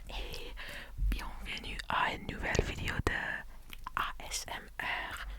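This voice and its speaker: A man whispers at a very slow pace, with long, frequent pauses. Noticeable background noise is present. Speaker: ASMR content creator. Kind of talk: ASMR whispered talk to camera. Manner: whispered, soft-spoken.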